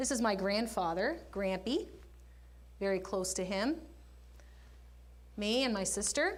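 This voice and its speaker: A woman's medium-pitched voice with lively intonation and very even loudness, fairly slow with long, frequent pauses and audible room echo. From Canada, Nova Scotia. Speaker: guest speaker. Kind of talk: public talk. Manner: animated.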